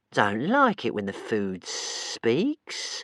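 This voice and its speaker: In a put-on character voice, a man sounds whiny and rumbling. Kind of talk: muttering to itself. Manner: whiny, grumbling.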